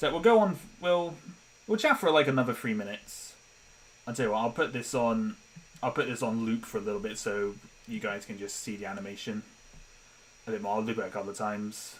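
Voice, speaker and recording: A man with a British accent talks at a very fast pace, broken by long, frequent pauses. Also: medium pitch for a man, lively intonation. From Britain. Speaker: animator and streamer. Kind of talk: casual live-stream chat. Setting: live stream on laptop. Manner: rambling with many restarts and fillers. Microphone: laptop noise picked up by mic.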